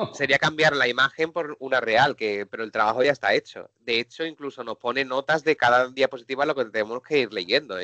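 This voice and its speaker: At a very fast pace, a bright, sharp voice with a southern Spanish accent comes through dry and close with no echo, over a quiet background. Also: man. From Seville, Andalusia, southern Spain. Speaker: technology presenter and trainer. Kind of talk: live webinar software demo. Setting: online webinar.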